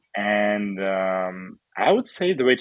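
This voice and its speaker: This man speaks with a Russian accent. His pitch is fairly low. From Ukraine, Odessa. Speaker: entrepreneur and charity organizer. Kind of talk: interview. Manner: calm.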